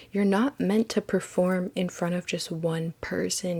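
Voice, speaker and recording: Fairly slow, somewhat breathy speech with fairly even intonation and a dry, close sound with no echo. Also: woman. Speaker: tarot card reader. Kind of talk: tarot reading monologue.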